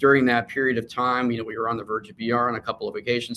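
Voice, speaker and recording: Very fast and medium-pitched, a man's voice has a bright, sharp tone. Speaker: company CEO. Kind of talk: interview; investor presentation. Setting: live online broadcast.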